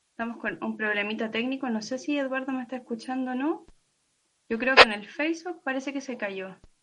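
A woman uses a raised, projected voice with a high pitch. Her tone is bright and sharp, with ordinary pitch variation. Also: fairly quick pace. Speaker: podcast host. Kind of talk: interview. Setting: live stream video call.

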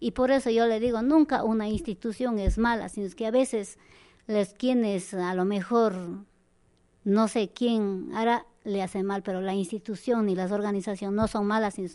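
Over a quiet background, a woman speaks at a moderate pace in a medium pitch with ordinary pitch variation. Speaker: community association leader. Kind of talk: interview. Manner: halting.

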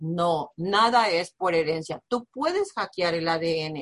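The sound is close and dry, with no echo. The voice is a woman's. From Mexico, Nayarit. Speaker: business coach. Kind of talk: motivational talk. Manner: animated.

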